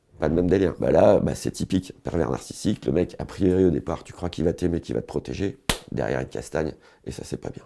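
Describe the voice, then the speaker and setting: Speaking at a very fast pace, a man with a very deep, low pitch uses lively intonation and vocal fry. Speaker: comedian, online humorist. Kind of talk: casual comic monologue to camera. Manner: rambling, free-flowing.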